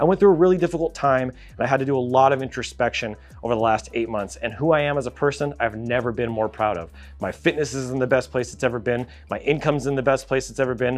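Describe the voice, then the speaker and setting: Music plays in the background as the speaker rushes along at a very fast pace with an animated tone and ordinary pitch variation. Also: man, medium pitch for a man. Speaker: graphic designer and YouTuber. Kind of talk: vlog monologue.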